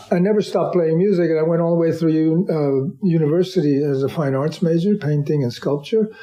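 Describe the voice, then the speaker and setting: This man speaks with a New York accent at a fairly quick pace, his pitch high and his loudness very even. Noticeable background noise runs under the recording. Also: ordinary pitch variation. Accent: New York American. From US, New York. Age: 70s. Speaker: artist and musician. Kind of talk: interview. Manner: halting, many repeated words.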